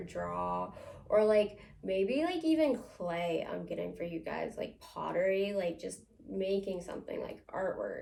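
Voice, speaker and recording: A fairly slow voice with an American accent and audible room echo. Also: woman. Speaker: psychic medium. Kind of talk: tarot-style psychic reading to camera. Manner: casual, many filler words.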